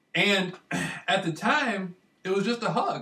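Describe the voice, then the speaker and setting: A man's raised, projected voice with an American accent, at a moderate pace. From Michigan, US. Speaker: vlogger. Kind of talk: casual monologue. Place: home room. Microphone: webcam.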